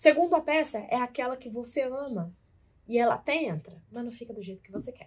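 At a fairly quick pace, a woman talks with a high pitch and ordinary pitch variation. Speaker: podcast co-host, weight-loss coach. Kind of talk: casual chat.

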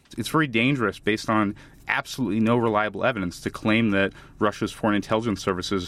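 Speaking very fast in an American accent, a man with a fairly low pitch keeps his intonation fairly even, and the recording is very clean with a silent background. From United States. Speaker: foreign policy researcher. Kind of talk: interview.

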